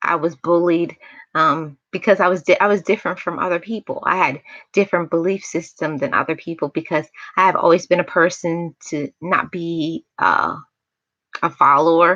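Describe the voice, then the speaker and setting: A bright, sharp tone comes through in this voice with an American accent. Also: woman. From New York, Jamaican family. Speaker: motivational YouTuber. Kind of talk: livestream chat, personal testimony. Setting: livestream. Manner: soft-spoken.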